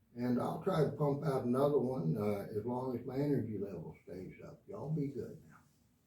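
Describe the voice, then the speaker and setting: An American-accented man talks at a medium pitch and moderate pace with lively intonation. His loudness swings widely, and background noise is noticeable. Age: 70s. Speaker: guitar teacher. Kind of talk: tutorial. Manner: casual, hesitant.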